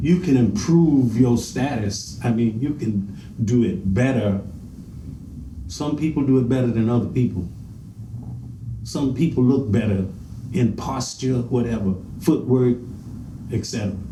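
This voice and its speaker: A man with a medium-pitched voice speaks at a fairly slow pace with long, frequent pauses and ordinary pitch variation, with audible room echo and noticeable background noise. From US South (Augusta, Georgia), then New York City from 13. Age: 70s. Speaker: veteran swing dancer. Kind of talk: interview.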